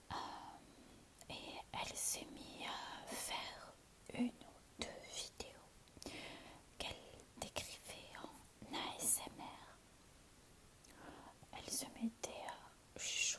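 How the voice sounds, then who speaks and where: A woman whispers very slowly, breaking her words with long pauses that come often. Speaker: ASMR content creator. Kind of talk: ASMR whispered relaxation video. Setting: home, sitting on a sofa. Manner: whispered, soft.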